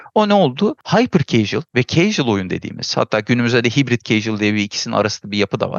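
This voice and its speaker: The man speaks at a very fast pace, his pitch swinging very widely. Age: 40s. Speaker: game designer and producer. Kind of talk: casual chat.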